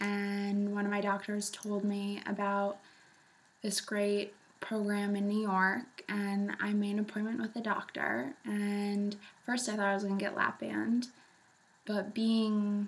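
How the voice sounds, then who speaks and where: Behind a woman's voice, there is noticeable background noise. She speaks fairly slowly in monotone, flat intonation, with very even loudness. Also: medium pitch for a woman. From New England. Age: 20s. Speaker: vlogger sharing weight loss surgery story. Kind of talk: casual vlog testimony.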